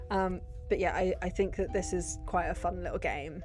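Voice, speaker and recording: With music in the background and audible room echo, a woman with a British accent speaks at a moderate pace. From Britain. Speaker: gaming youtuber. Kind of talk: casual chat.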